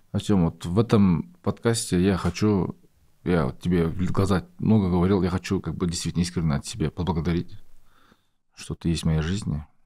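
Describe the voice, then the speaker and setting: Dark, mellow tone at a moderate pace, with ordinary pitch variation over a quiet background. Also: man, very deep, low pitch for a man. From Kazakhstan. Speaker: podcast host. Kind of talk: casual interview. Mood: calm, sincere. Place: studio. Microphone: studio mic.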